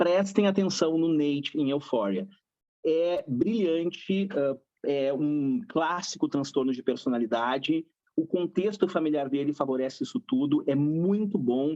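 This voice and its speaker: Lively intonation marks this man's fairly high voice. He speaks at a fairly slow pace. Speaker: psychologist. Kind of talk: panel discussion. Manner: animated.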